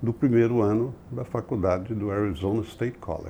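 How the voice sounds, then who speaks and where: The man's voice has a dark, mellow tone. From Brazil, São Paulo. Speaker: business executive and board member. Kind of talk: interview conversation.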